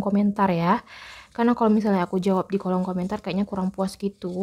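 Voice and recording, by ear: A soft-spoken woman talks with a dark, mellow tone at a medium pitch. Her intonation is fairly even.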